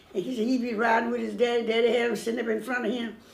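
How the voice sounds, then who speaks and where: The speech moves at a very fast pace with fairly even intonation. Noticeable background noise runs underneath. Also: woman. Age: 80s+. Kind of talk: oral history recollection. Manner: casual, conversational.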